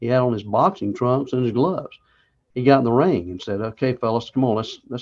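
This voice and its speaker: Speaking with a North Carolina accent, a man at a medium pitch talks at a fairly quick pace with lively intonation. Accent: Southern US (North Carolina). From US South, Charlotte, North Carolina. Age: 70s. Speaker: war veteran. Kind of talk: interview.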